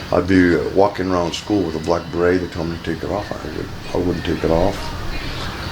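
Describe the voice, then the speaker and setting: Over noticeable background noise, a man with an American accent and a very deep, low pitch speaks at a moderate pace. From California. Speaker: Chicano movement activist. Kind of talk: oral history interview answer. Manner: casual, hesitant.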